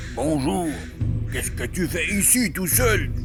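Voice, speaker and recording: Over loud background noise, a woman uses a hoarse, put-on character voice at a fairly slow pace. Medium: read story.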